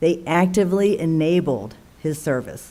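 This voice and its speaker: A woman with an Alabama accent, medium pitch, a dark, mellow tone, ordinary pitch variation, and audible room echo. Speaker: military officer. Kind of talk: formal speech. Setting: town council meeting. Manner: formal.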